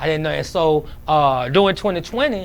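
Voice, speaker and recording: Pitched fairly high, a man talks with ordinary pitch variation. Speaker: cleaning business owner. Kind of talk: interview. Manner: halting; fast.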